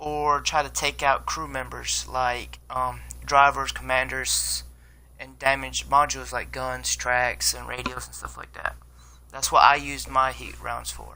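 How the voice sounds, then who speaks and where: A man speaks at a fairly slow pace, his loudness swinging widely. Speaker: gaming video creator. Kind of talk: game review tutorial. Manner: halting.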